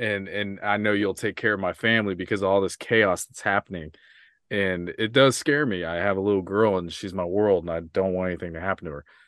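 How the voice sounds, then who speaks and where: In an American accent, a man with an ordinary speaking voice talks at a fairly quick pace and a fairly low pitch. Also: fairly even intonation. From US Midwest (Kansas). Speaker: podcaster. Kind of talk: casual chat. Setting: video call.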